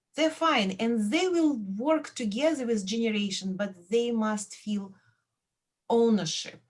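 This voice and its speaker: A woman with a Belarusian accent, a fairly high pitch, lively intonation, a fairly slow pace and long, frequent pauses. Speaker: professor. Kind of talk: radio interview.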